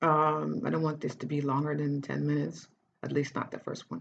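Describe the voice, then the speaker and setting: Vocal fry runs through this woman's very deep, low-pitched voice. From Netherlands, Cape Verdean family. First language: Dutch. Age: 30s. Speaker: writer and life coach. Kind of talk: personal life story monologue. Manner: halting, many false starts; casual.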